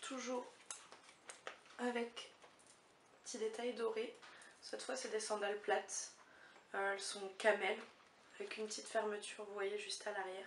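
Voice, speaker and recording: A woman speaks with monotone, flat intonation and long, frequent pauses. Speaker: beauty and fashion vlogger. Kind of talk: haul video chat. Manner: hesitant with many fillers.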